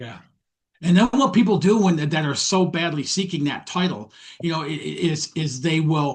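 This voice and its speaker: A man's somewhat breathy delivery, pitch varying in an ordinary way. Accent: American. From US Midwest, Detroit, Michigan. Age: 60s. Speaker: mindset coach. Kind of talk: interview podcast chat.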